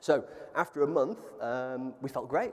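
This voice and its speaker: Here is a man with a southern English accent. His pitch is medium, with ordinary pitch variation. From England. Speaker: plant-based food entrepreneur. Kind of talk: panel interview. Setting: stage with audience.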